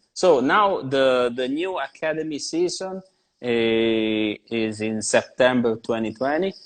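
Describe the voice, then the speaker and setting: A man speaks very slowly with an Italian accent, his medium-pitched voice lively in intonation and hardly pausing at all. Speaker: tattoo artist. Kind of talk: casual chat. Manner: halting.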